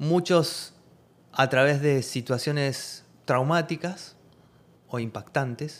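The speech moves at a very slow pace. Long, frequent pauses break it up. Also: man, fairly high pitch for a man, ordinary pitch variation. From Argentina. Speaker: holistic therapeutic coach and shaman. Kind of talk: interview chat.

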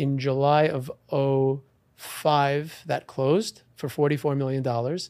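In a normal speaking voice, a man with an American accent talks at a fairly slow pace, his pitch fairly high and his intonation fairly even. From New York, Long Island. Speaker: real estate auctioneer and attorney. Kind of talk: interview.

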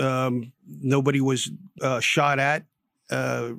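A man with a New Jersey accent speaks at medium pitch in a monotone, flat intonation, captured in a very clean recording with a silent background. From Newark, New Jersey. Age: 60s. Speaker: retired police chief. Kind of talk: radio interview. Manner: halting, many fillers.

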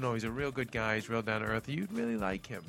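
With music in the background, someone talks at a very fast pace in an American accent. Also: man. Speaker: podcast host.

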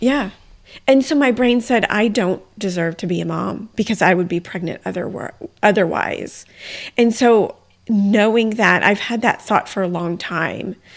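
At a fairly slow pace, a woman speaks with medium pitch and ordinary pitch variation. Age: 40s. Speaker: podcast host. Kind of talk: casual chat.

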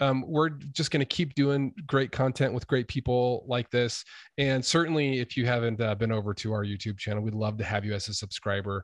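Talking at a fairly quick pace with hardly any pauses, a man with an American accent has an ordinary speaking voice, recorded with a dry, close sound, no echo and a quiet background. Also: medium pitch for a man, ordinary pitch variation. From US, Idaho. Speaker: podcast host and YouTuber. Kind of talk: casual interview chat.

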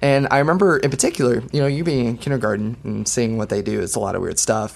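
At a very fast pace, a man speaks with vocal fry at a medium pitch that varies in an ordinary way. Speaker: podcast co-host. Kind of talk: casual chat.

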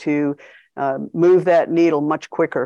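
A woman with an American accent speaks at a moderate pace in a very deep, low pitch against a quiet background. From US. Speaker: international organization executive. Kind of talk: interview.

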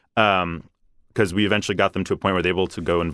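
Talking at a very fast pace, a man with an American accent keeps his intonation fairly even. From Philadelphia. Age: 20s. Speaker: campaign field organizer. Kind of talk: casual interview.

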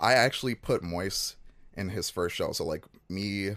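A man with an American accent speaks with vocal fry. The recording is very clean, with a silent background. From Chicago, US Midwest. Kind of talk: casual interview chat.

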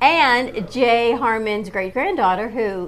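With lively intonation and a fairly high pitch, a woman talks over noticeable background noise. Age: 50s. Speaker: morning show co-host. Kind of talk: casual chat. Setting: studio (cafe set with camera).

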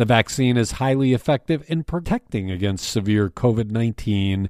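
A man's medium-pitched voice at a moderate pace, with very wide pitch swings, on a very clean recording with a silent background. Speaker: news briefing host and newspaper editor. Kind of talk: news reading, scripted morning news briefing. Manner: formal, steady, even-paced newsreader delivery; neutral and matter-of-fact, reading statistics and crime figures without emotion.

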